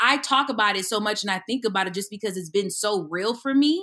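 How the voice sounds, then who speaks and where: A woman's animated, fairly high voice, bright and sharp in tone, on a very clean recording with a silent background. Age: 30s. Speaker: actress and comedian. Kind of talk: casual chat.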